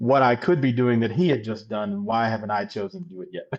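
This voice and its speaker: A man of medium pitch with an American accent, against a quiet background. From US Northeast, Philadelphia. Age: 40s. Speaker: financial planner. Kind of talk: podcast interview, personal testimony.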